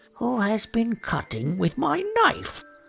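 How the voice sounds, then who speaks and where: A female-sounding, put-on character voice growls at a fairly high pitch and a fairly slow pace. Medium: read story. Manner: repetitive, aggrieved questions.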